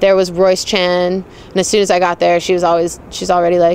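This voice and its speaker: A woman talks at a fairly quick pace in a fairly low pitch with monotone, flat intonation. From Hong Kong. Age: 20s. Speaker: rugby player. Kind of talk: interview monologue. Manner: casual, conversational.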